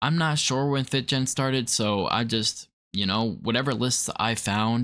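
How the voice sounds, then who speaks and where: On a very clean recording with a silent background, a man speaks at a fairly slow pace in a bright, sharp tone with ordinary pitch variation. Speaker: podcast host. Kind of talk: casual chat.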